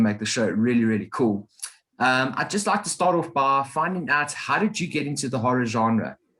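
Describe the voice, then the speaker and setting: A man with a South African accent speaks at medium pitch with lively intonation. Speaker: podcast host. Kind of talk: casual chat.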